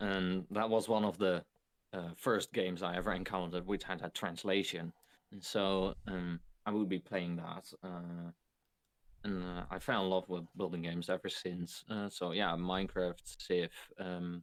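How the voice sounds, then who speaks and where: A man speaks with a Dutch accent at a very deep, low pitch. His intonation is monotone and flat. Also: moderate pace. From Netherlands. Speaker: video game streamer. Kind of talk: podcast interview. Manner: halting.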